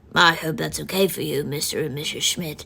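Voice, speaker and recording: Putting on a character voice, a woman speaks fairly quickly in a raspy, very deep, low pitch. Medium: solo performance.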